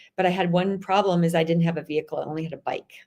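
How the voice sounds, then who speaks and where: Her intonation fairly even, a woman with a Chicago accent speaks in a fairly low pitch. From Chicago area, US Midwest. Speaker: author. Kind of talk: interview conversation. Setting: live stream.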